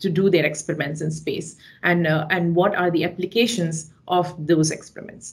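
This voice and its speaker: A woman speaks at a moderate pace with a fairly low pitch. Her voice is somewhat breathy, and her intonation stays fairly even. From India, Chennai. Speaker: mechanical engineer, researcher. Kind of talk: webinar lecture. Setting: video call.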